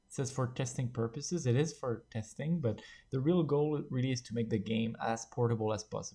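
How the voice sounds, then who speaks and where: A man's medium-pitched voice with a French accent, somewhat breathy and dark and mellow in tone, at a fairly quick pace with ordinary pitch variation. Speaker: game development tutorial creator. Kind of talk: tutorial. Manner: halting, many filler words.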